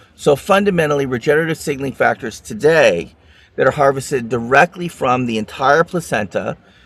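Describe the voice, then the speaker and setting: Using vocal fry, a man with a fairly high pitch talks at a fairly quick pace with lively intonation. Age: 60s. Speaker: regenerative medicine expert. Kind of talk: interview.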